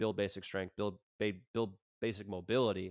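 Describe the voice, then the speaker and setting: A man with a fairly low pitch uses a normal speaking voice with fairly even intonation. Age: 30s. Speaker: yoga instructor and podcast host. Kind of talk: casual interview chat.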